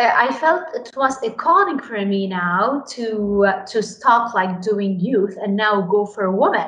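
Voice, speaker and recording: A woman with a Lebanese accent speaks at a fairly high pitch and a fairly slow pace, with ordinary pitch variation. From Lebanon. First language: Arabic. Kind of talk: interview.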